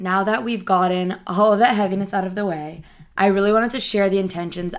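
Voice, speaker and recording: Here is a woman with an unremarkable speaking voice, speaking at a fairly quick pace. Her intonation is fairly even, and the recording is very clean with a silent background. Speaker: life coach podcaster. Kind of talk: motivational pep talk. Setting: solo podcast. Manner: earnest, conversational.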